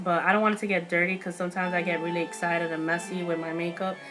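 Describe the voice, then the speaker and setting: Over music in the background, a woman talks at a very fast pace with a fairly low pitch. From New York. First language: not English. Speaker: beauty vlogger. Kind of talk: product review haul. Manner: casual, filler-heavy; animated.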